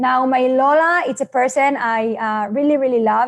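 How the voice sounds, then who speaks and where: This woman has a high pitch and speaks at a moderate pace. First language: Hebrew. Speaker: network marketing presenter. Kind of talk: seminar presentation. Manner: halting.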